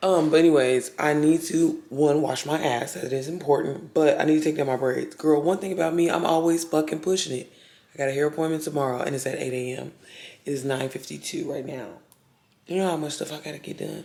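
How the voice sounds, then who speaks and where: Through noticeable background noise, a woman with a very deep, low pitch talks at a fairly quick pace in fairly even intonation. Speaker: lifestyle vlogger and online business creator. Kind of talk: casual vlog. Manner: casual, chatty.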